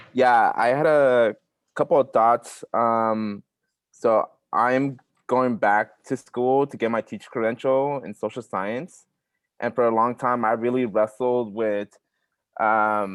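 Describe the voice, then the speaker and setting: A man speaks very slowly with a Spanish accent and fairly even intonation. The sound is dry and close, with no echo. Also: medium pitch for a man. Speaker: workshop participant, teacher credential student. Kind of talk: online workshop discussion.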